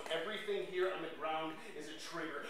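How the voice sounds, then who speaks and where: A man's high-pitched voice amid audible room echo and noticeable background noise. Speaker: poet. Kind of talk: performed spoken-word poem. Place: stage. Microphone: handheld.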